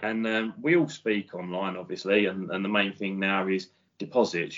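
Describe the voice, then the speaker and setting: In a British accent, a man talks fairly fast. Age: 40s. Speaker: electrician. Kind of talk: casual chat.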